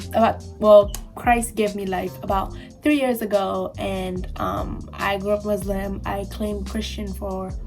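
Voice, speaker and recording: A woman talking at a fairly slow pace, with music in the background. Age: 20s. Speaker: new YouTuber. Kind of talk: casual talk to camera. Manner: quiet, low voice.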